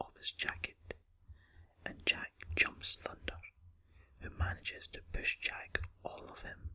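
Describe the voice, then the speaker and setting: Whispering in a Scottish accent at a fairly slow pace, the loudness swings a lot. Noticeable background noise sits behind it. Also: man. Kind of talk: ASMR film review. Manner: whispered.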